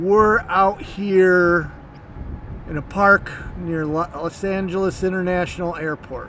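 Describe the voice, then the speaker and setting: A high-pitched man with big swings in loudness over noticeable background noise. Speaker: interviewer, channel host. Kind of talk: interview questions.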